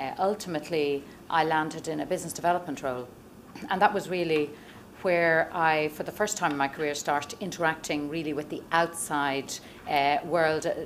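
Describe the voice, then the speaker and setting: With an Irish accent, a woman speaks at a fairly quick pace in a very deep, low pitch, her intonation fairly even, amid audible room echo. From Ireland, Dublin. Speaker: venture investor. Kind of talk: conference talk. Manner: many fillers (um, uh).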